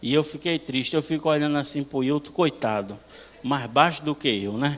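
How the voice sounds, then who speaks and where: A man with a Bahian accent and fairly high pitch, amid noticeable background noise. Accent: northeastern Brazilian (Bahian). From Bahia, Brazil. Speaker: preacher. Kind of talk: sermon. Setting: church. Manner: animated.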